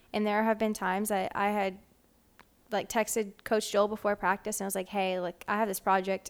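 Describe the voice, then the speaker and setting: Recorded very clean with a silent background, a normal speaking voice moves at a fairly quick pace with an American accent. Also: woman. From Wisconsin. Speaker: college athlete. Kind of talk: interview.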